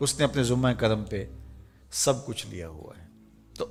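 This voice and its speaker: A man speaks with music in the background. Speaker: Islamic preacher. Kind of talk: religious sermon (bayan).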